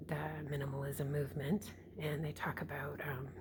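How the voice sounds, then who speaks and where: Whispering, a woman speaks with vocal fry. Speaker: vlogger and mother. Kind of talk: casual vlog. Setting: at home, early morning.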